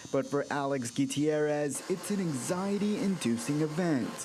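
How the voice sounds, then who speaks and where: The speaker has an American accent and lively intonation at a moderate pace. Noticeable background noise runs underneath. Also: man. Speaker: local TV news anchor and multimedia journalist. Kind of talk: recorded news package narration.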